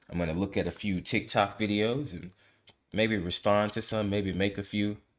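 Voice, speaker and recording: A man speaks at a fairly quick pace in a relaxed tone, his pitch fairly low. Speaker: livestreamer. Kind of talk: casual chat. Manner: fast; talkative, relaxed.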